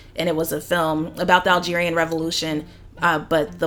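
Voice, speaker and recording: In an American accent, a woman talks fairly quickly at a fairly low pitch, her tone bright and sharp and her intonation monotone and flat. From US South, Atlanta. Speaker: screenwriter and painter. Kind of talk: casual chat.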